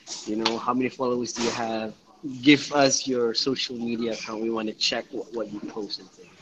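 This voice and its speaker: Over noticeable background noise, a man speaks at a fairly quick pace in a medium pitch, his intonation monotone and flat while his loudness swings widely. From Johor, Malaysia. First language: Malay. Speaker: part-time English teacher. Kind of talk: casual chat.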